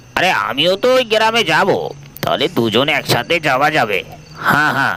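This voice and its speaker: A man speaks at a moderate pace in a put-on character voice, his fairly high pitch making very wide swings over clear background noise. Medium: audio drama.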